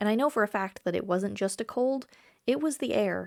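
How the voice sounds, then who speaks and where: A woman's ordinary speaking voice at medium pitch with ordinary pitch variation, in a very clean recording with a silent background. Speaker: travel vlogger. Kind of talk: story time talk to camera.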